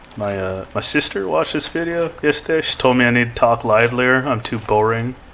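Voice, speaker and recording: Noticeable background noise sits behind a man speaking at a fairly quick pace. His pitch is medium. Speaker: gaming video creator. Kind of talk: casual gameplay commentary. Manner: monotone.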